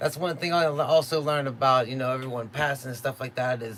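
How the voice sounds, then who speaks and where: Noticeable background noise behind speech of ordinary pitch variation. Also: man. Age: 30s. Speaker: beatmaker streamer. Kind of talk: live stream casual chat. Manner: casual, laid-back.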